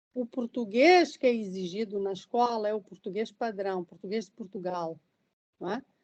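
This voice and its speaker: This woman talks at a fairly slow pace. Her pitch is medium, with ordinary variation. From southern Mozambique. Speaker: professor, lecturer. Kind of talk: lecture Q&A discussion. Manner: hesitant, with repetitions.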